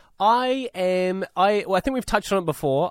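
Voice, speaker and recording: Fairly quick speech from a man in a New Zealand accent, the sound dry and close with no echo, on a very clean recording with a silent background. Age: 20s. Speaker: radio co-host. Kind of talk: casual radio talk.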